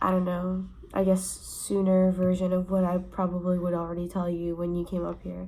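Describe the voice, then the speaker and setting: A woman speaks quietly. Her pace is moderate. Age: young. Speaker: student vlogger. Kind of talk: casual vlog monologue. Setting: dorm room. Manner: keeping voice down, quiet; casual, filler-heavy.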